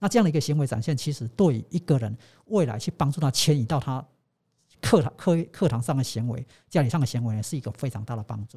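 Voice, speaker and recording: On a very clean recording with a silent background, a man speaks very fast at a medium pitch with lively intonation. His tone is dark and mellow, and somewhat breathy. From Taiwan. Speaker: sports science professor. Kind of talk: interview.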